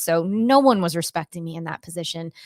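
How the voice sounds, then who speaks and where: A woman with an American accent speaks at a moderate pace in a fairly low pitch, a plain, everyday voice on a very clean recording with a silent background. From US Northeast, Cape Cod, Massachusetts. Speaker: Pilates instructor and intuitive empath. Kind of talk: interview testimony.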